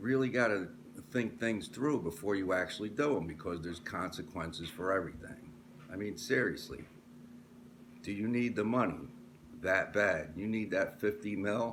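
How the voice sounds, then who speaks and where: Audible room echo surrounds speech that has a moderate pace and ordinary pitch variation. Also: man, fairly low pitch for a man. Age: 60s. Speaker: sports commentator vlogger. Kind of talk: casual monologue. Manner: animated.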